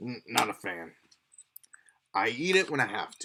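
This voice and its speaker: A man uses a put-on character voice at a medium pitch. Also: moderate pace. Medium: actual play. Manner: easygoing, folksy.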